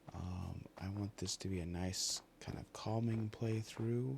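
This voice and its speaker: A soft-spoken man talks at a very slow pace. His fairly low voice is somewhat breathy. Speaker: ASMR creator. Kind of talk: relaxing gameplay commentary. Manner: rambling.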